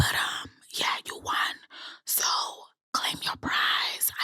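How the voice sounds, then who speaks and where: A woman is speaking. She whispers. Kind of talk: ASMR whisper video. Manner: whispered.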